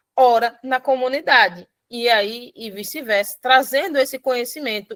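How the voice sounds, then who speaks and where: Fairly slow with lively intonation, a woman speaks in an unremarkable speaking voice, the sound dry and close with no echo. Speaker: professor. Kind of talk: lecture.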